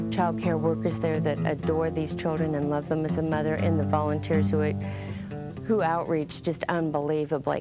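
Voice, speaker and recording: Music sits in the background. Over it, a woman talks at a moderate pace. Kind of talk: interview answer. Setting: studio.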